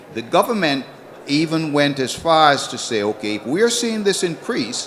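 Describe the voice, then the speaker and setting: A man speaks at a fairly slow pace with very wide pitch swings over noticeable background noise. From Antigua. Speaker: citizenship consultant. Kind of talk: panel discussion.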